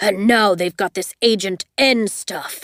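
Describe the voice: A woman puts on a booming, gruff, growling character voice, speaking at a fairly slow pace with fairly even intonation.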